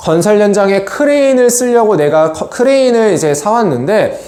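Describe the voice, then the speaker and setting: Noticeable background noise beneath fairly quick talking. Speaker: accounting lecturer. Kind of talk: lecture. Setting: screen recording, not studio. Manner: fast.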